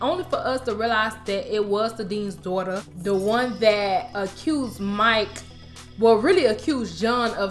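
With ordinary pitch variation, a woman speaks at a moderate pace while faint music sounds in the background. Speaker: TV show recap vlogger. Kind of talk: casual vlog chat. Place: home room.

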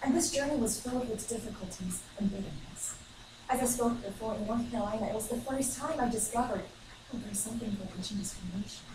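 A woman talks at a very fast pace with ordinary pitch variation, with audible room echo and noticeable background noise. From China. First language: Chinese. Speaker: student giving a speech. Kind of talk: ceremonial speech. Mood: reflective, sentimental. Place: classroom. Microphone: camera far.

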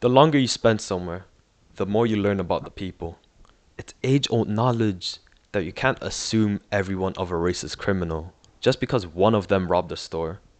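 A man with an American accent talks at a fairly quick pace in a normal speaking voice, his pitch fairly low with ordinary variation. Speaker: documentary subject. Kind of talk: documentary narration.

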